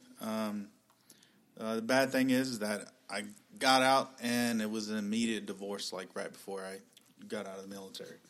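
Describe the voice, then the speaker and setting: A man's unremarkable speaking voice with an American accent, fairly low in pitch, at a moderate pace, with fairly even intonation and big swings in loudness. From Texas, Dallas. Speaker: army veteran, new mortgage professional. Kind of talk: casual chat.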